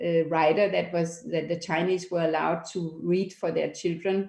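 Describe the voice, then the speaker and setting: A woman with a Danish accent, fairly low in pitch, in monotone, flat intonation at a moderate pace. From Denmark. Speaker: documentary foundation founder. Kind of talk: interview. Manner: halting.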